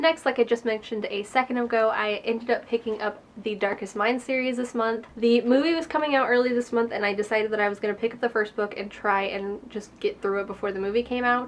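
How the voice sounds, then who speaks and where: Against noticeable background noise, a woman talks at a very fast pace with fairly even intonation and hardly any pauses. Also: fairly high pitch for a woman. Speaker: book reviewer. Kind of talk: casual talk to camera.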